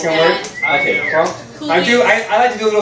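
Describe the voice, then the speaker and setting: Noticeable background noise sits under this recording. A man with an American accent talks at a fairly quick pace. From Miami, Florida. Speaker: stand-up comedian. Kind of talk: live stand-up comedy set. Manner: casual, conversational, jokey.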